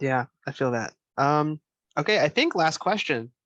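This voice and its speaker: A man with an American accent talks at a moderate pace in an ordinary speaking voice. His pitch is fairly high, and the sound is dry and close with no echo. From Northern Virginia. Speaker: student interviewer. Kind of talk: casual interview.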